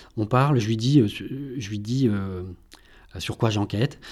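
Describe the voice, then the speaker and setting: The very clean recording has a silent background. A man speaks with a dark, mellow tone at a medium pitch, varying it in an ordinary way. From Brittany, upper Vilaine valley. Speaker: journalist and author. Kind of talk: interview. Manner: halting, many repetitions.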